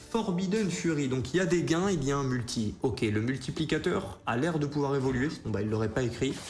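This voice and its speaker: Amid music in the background and audible room echo, a man speaks fairly quickly at a fairly high pitch, with lively intonation and hardly any pauses. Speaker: casino streamer. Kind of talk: live stream commentary. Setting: live stream. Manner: fast.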